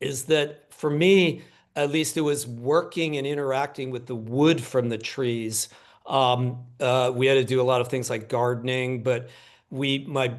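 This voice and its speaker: A man with an ordinary speaking voice, medium pitch and fairly even intonation speaks at a fairly slow pace. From Pennsylvania, US. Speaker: book editor, scholar. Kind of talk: panel discussion.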